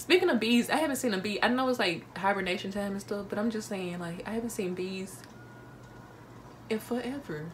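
A woman speaks very quickly in an animated tone. Light noise sits in the background. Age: 19. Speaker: vlogger. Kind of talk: casual talk to camera. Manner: chatty, animated. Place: home room. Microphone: phone near.

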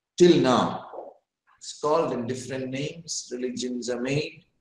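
Audible room echo around a man's voice. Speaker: guest lecturer. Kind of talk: lecture. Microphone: video call.

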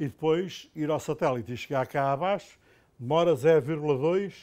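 Speaking fairly slowly, a man uses an ordinary speaking voice pitched fairly high. His pitch varies in an ordinary way, and the background is quiet. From Portugal. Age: 60s. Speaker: professor. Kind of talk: lecture. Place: classroom. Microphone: lapel.

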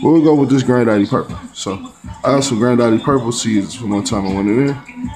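With clear music playing in the background, a man talks with ordinary pitch variation. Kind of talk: casual vlog chat. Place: home room. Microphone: phone near.

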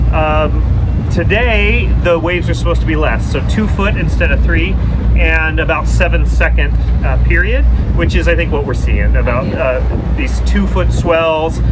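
A man talks at a fairly slow pace while loud background noise carries on around him. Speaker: boat owner vlogger. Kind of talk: casual vlog chat. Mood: cheerful, slightly tense. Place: boat. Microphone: phone near.

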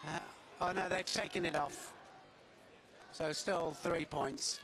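A man speaks at a fairly slow pace in a calm tone, with noticeable background noise behind him. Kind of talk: live sports commentary. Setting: arena with live crowd atmosphere. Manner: play-by-play, fluent with filler 'uh', calm and explanatory.

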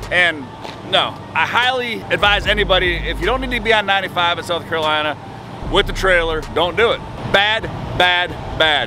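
The speech moves at a fairly quick pace with ordinary pitch variation. The sound is dry with no echo, and there is noticeable background noise. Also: man. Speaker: road trip vlogger. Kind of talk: casual vlog chat. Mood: exasperated about bad roads. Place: street. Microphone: phone near.

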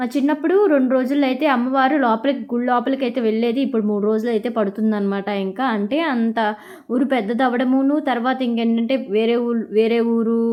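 A woman with a high-pitched voice speaks at very even loudness and with fairly even intonation. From Andhra Pradesh, Krishna district (Vuyyuru). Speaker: vlogger. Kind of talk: travel vlog narration. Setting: outdoors at a crowded temple fair. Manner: casual, conversational.

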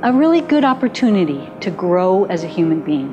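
Clear music is audible behind the voice. The speaker is a woman. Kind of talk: documentary monologue. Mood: reflective, candid. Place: home room.

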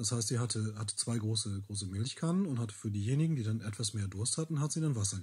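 Very fast and somewhat breathy, a man talks with ordinary pitch variation on a very clean recording with a silent background. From Bielefeld, East Westphalia, Germany. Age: 30s. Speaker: local heritage worker and language teacher with a rare disease. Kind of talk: interview testimony.

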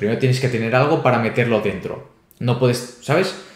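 Speaking at a fairly quick pace, a man with a medium pitch is heard against a quiet background with audible room echo. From Spain, Barcelona; Catalonia, Spain. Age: 20s. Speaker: crypto youtuber and startup founder; crypto youtuber. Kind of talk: interview. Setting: video call. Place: home room. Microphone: webcam.

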